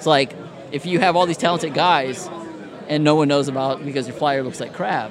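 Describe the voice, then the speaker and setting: Amid crowd noise and audible room echo, a man with an American accent speaks fairly quickly at a fairly high pitch with ordinary pitch variation. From Indiana. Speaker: graphic designer, former wrestling referee. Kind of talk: casual chat.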